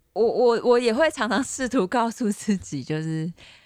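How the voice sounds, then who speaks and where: A woman's lively intonation comes through on a very clean recording with a silent background. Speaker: podcast host. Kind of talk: casual chat. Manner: laughs often, casual.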